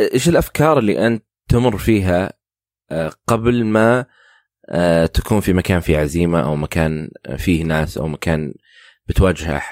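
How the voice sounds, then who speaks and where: In a very clean recording with a silent background and a dry, close sound with no echo, a man with a very deep, low pitch talks at a moderate pace with lively intonation and long, frequent pauses. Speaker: podcast host. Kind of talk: interview.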